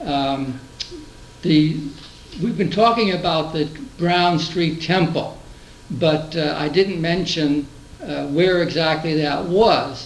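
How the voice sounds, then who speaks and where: Against noticeable background noise, a man at fairly high pitch speaks at a very slow pace with long, frequent pauses and fairly even intonation. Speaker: oral history interviewer. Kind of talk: interview questions.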